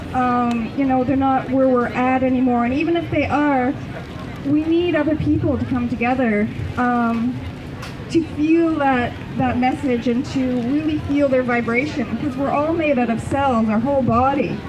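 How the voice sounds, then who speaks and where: In a room with audible echo and noticeable background noise, a woman with a high voice talks at a moderate pace, her loudness very even and her pitch variation ordinary. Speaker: naturopathic consultant. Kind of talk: public talk. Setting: outdoor market talk. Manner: many fillers (um, you know).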